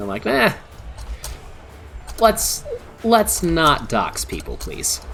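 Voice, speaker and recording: A man's relaxed tone at a fairly slow pace over noticeable background noise. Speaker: VTuber streamer. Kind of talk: casual live-stream chat. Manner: stuttering, halting.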